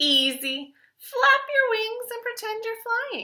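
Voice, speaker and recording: Putting on a squeaky character voice, a woman speaks fairly slowly at an extremely high pitch with very wide pitch swings. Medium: read story. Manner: breezy, encouraging.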